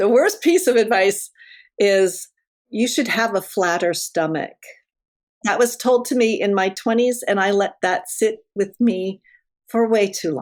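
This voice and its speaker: With an American accent, a woman uses an ordinary speaking voice, fairly high in pitch, at a fairly slow pace with lively intonation. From United States. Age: 60s. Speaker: mentor and coach, former journalist. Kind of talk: interview conversation. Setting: podcast interview. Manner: casual, frank.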